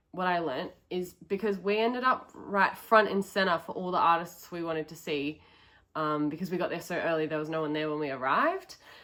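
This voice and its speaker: Here a woman with an Australian accent speaks at a fairly quick pace, her pitch fairly low. Her tone is bright and sharp, with ordinary pitch variation. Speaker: travel vlogger. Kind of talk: casual vlog talk to camera. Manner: casual, many um fillers.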